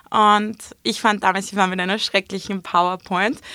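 An ordinary speaking voice at a moderate pace, in a very clean recording with a silent background. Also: woman. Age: 20s. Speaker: influencer and entrepreneur. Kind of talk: interview.

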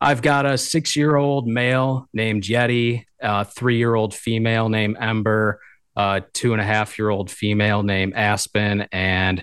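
Against a quiet background, a man talks with a Michigan accent. His pitch is fairly low and his intonation fairly even. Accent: Upper Midwest (Michigan). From Michigan, southeast. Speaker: upland hunting gear business owner. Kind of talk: casual interview chat. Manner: hesitant, many fillers and repeats.

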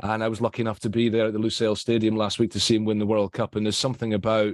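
With a Scottish accent, a man speaks at a fairly low pitch. The sound is dry and close, with no echo. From Scotland. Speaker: football journalist, panellist. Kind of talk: casual chat.

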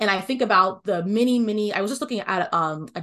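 A woman with an American accent and a medium pitch speaks at a very fast pace. Her pitch variation is ordinary, and the background is quiet. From US, Washington DC area (Northern Virginia). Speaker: music education consultant. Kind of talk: interview.

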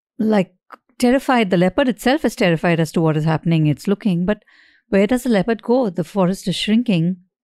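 In a dry, close, echo-free and very clean recording with a silent background, a woman talks at a fairly quick pace with lively intonation and a dark, mellow tone. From India, Mumbai. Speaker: podcast co-host. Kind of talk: casual chat.

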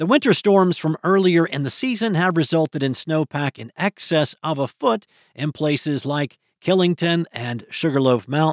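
An unremarkable speaking voice with ordinary pitch variation moves at a moderate pace on a very clean, dry, close recording with no echo and a silent background. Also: man. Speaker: weather news host. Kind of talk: scripted weather news reading. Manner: smooth, even-paced newsreader delivery; upbeat, promotional tone about ski conditions.

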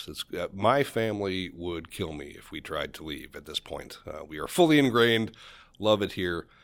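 A man with an American accent speaks at a moderate pace in a normal speaking voice, fairly low in pitch, with lively intonation. His loudness swings widely on a very clean recording with a silent background. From Western New York, near Buffalo. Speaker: finance professor. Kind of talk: casual interview.

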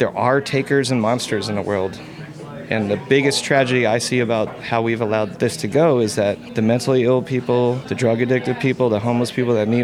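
Over music in the background, a man with a medium-pitched voice talks at a fairly quick pace with fairly even intonation. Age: 40s. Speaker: tavern owner. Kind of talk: recorded interview. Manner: passionate.

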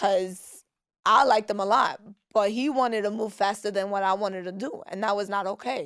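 A woman speaks with a New York accent at a fairly quick pace, medium-pitched and animated in tone. The recording is very clean, with a silent background. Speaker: social media personality. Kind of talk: casual chat.

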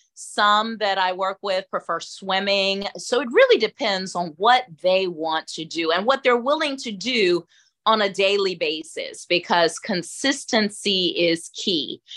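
A woman with a Southern US accent speaks at a fairly slow pace and a medium pitch, with ordinary pitch variation. Her tone is bright and sharp, set against a quiet background. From US South, Atlanta, Georgia. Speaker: caregiver and life coach. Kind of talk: interview conversation.

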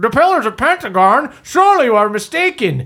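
A put-on character voice in a fairly high pitch, with very wide pitch swings at a fairly quick pace. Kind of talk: formal, stiff. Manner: gasping, shocked, disbelieving.

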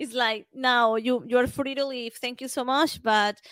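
A woman with a Spanish accent speaks at a high pitch and a very slow pace in a flat monotone, on a very clean recording with a silent background. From Venezuela. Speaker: football podcaster. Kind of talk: casual chat.

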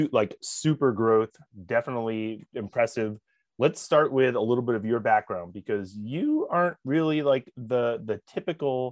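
A man speaks at a moderate pace in a normal speaking voice, with medium pitch and ordinary pitch variation. The background is quiet, and the sound is dry and close, with no echo. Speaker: podcast host. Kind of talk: casual interview.

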